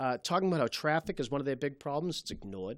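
The voice rises and falls across a very wide pitch range, with a Boston accent. The recording is very clean, with a silent background. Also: man. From Malden, Massachusetts. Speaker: city councilor. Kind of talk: interview. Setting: studio.

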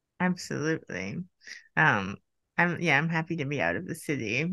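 Over a quiet background, a woman with an American accent speaks in a very deep, low pitch, her bright, sharp tone carrying vocal fry. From United States. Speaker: podcast host and psychoanalyst. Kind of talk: casual interview conversation. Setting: video call. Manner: laughs often.

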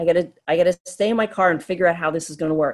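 An unremarkable speaking voice belongs to a woman with an American accent. She moves at a fairly quick pace in a medium pitch. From Pennsylvania, Poconos. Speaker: podcast panelist, storyteller. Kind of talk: storytelling. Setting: video call.

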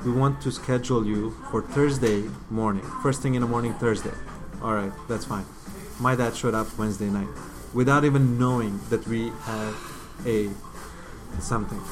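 A man's medium-pitched voice with a Bosnian accent, at a moderate pace with long, frequent pauses, ordinary pitch variation, and noticeable background noise. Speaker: filmmaker. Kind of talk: casual interview. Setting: coffee shop.

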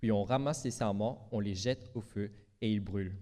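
A man speaks with a Mauritian accent in a dark, mellow tone. The background is quiet. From Mauritius. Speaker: preacher. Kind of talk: sermon. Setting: church.

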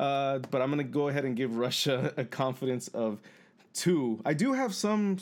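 At a moderate pace, a man with a plain, everyday voice and medium pitch speaks with lively intonation. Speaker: podcast co-host. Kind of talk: casual chat.

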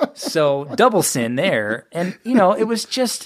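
On a very clean recording with a silent background, the words come fairly slowly. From US West (Sacramento, California). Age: 30s. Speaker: TV producer and author. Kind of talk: interview conversation. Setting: studio.

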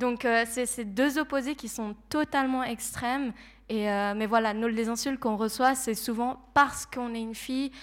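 A woman speaks at a moderate pace in a high voice with fairly even intonation, recorded very cleanly against a silent background. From Switzerland, Geneva. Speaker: psychology student and streamer. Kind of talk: panel talk.

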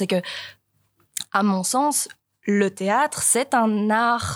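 A woman talks at a medium pitch with ordinary pitch variation, in a plain, everyday voice. The sound is dry and close, with no echo. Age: 20s. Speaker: young stage actor. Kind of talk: panel discussion. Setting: live recording before an audience.

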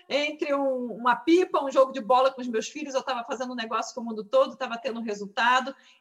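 Noticeable background noise sits behind a woman talking at a very fast pace in a high voice. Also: hardly any pauses. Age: 30s. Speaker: dentist and direct sales seller. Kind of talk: testimony. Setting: video call.

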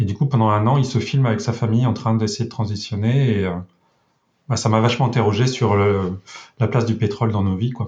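A man speaks at a medium pitch with a somewhat breathy voice and fairly even intonation. His loudness stays very even, and his pace is fairly quick. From rural France. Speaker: web developer. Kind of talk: casual interview.

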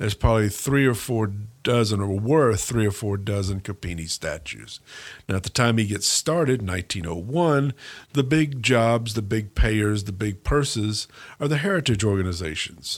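Recorded very cleanly against a silent background, a man with a fairly low pitch uses an ordinary speaking voice, ordinary pitch variation and a moderate pace. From US South, Mississippi Gulf Coast. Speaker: history professor. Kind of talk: interview.

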